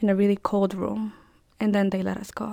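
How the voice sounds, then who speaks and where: A dark, mellow tone with a strong Spanish accent at a moderate pace, on a very clean recording with a silent background. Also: woman. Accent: thick Spanish. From El Salvador. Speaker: undocumented immigrant student. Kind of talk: personal testimony interview.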